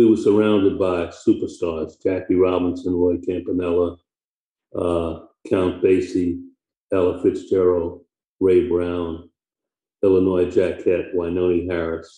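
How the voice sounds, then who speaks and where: Speaking with an American accent, a man with a very deep, low voice keeps a monotone, flat intonation, sounds somewhat breathy, and leaves long, frequent pauses. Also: fairly slow pace. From New York (Harlem, then Queens). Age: 80s+. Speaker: retired naval flight officer and author. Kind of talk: interview, telling life story.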